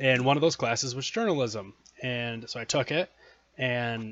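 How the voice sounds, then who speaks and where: With an American accent, a man speaks in an unremarkable speaking voice at a medium pitch and with fairly even intonation. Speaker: podcast host. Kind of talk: casual interview chat.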